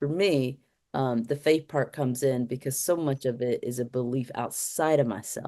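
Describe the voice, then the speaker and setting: In an American accent, a woman with a very deep, low pitch and a dark, mellow tone talks at a moderate pace with ordinary pitch variation. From Detroit, US Midwest. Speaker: film director. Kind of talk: interview. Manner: halting.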